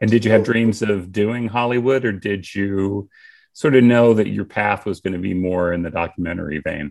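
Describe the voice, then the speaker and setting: Against a quiet background, a man with an American accent talks at a moderate pace in an unremarkable speaking voice. His pitch is fairly low, with ordinary variation. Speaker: podcast host. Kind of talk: casual interview chat.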